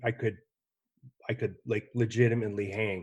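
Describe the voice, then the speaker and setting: Fairly low, monotone male voice with flat intonation at a fairly slow pace, on a very clean recording with a silent background. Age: 60s. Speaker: hunting ammunition company representative. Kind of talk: casual chat.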